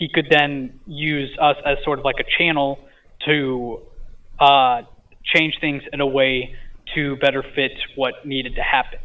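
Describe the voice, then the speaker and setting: With a fairly high pitch, a man speaks at a fairly slow pace. His intonation is monotone and flat, broken by long, frequent pauses. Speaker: podcast guest recounting a dream. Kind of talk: casual interview. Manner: halting.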